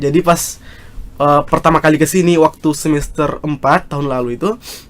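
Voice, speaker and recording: A man with a strong South Sulawesi accent speaks fairly quickly, his fairly high pitch held in fairly even intonation. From South Sulawesi, Indonesia. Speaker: student leader. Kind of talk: casual podcast interview. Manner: loud; halting, many fillers.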